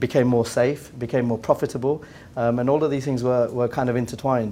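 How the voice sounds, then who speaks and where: A man speaks at a very fast pace in an English accent, his pitch sitting in the middle range. His intonation is monotone and flat, with a dark, mellow tone. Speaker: business executive. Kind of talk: round table discussion. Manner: halting, many repetitions.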